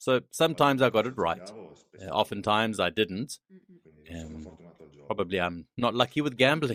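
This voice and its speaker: In a dry, close recording with no echo, a man with a fairly low voice speaks at a moderate pace with lively intonation and long, frequent pauses. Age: 40s. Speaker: trading student and plant manager. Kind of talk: interview. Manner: hesitant, with fillers.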